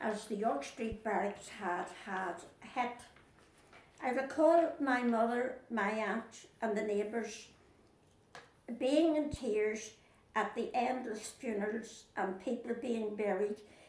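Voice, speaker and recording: In a Northern Irish accent, a woman speaks at a very slow pace. Her pitch is fairly high, with ordinary pitch variation. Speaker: Second World War civilian witness. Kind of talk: oral history interview.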